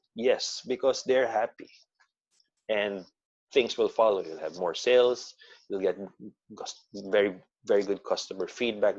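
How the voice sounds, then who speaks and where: A man talks at a fairly slow pace with long, frequent pauses. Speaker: assistant restaurant manager. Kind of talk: interview answer.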